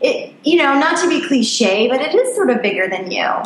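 Audible room echo and noticeable background noise around a woman's speech. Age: 40s. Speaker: life coach and photographer. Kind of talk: interview.

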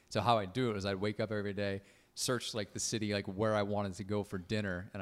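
A fairly low male voice, monotone and flat, with an American accent, in a very clean recording over a silent background. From Connecticut, US. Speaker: comedian and musician. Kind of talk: casual podcast conversation. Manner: casual, filler-heavy.

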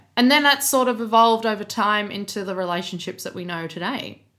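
With an Australian accent, a woman speaks at a fairly high pitch in a bright, sharp tone, with ordinary pitch variation and hardly any pauses, on a very clean recording with a silent background. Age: 20s. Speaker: podcast co-host. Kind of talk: casual chat. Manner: laughs often.

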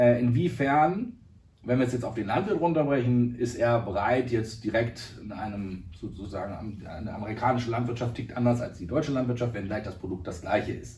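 A man's medium-pitched voice at a moderate pace, with big swings in loudness, ordinary pitch variation, audible room echo and noticeable background noise. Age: 30s. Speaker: agritech founder. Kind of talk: interview.

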